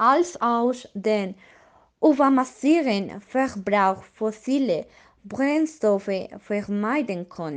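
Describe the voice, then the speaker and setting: The speaker talks at a very slow pace in a Spanish accent. The intonation is lively. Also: woman, fairly high pitch for a woman. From Colombia. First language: Spanish (speaking German). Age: 20s. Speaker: nature activist. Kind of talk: scripted podcast discussion.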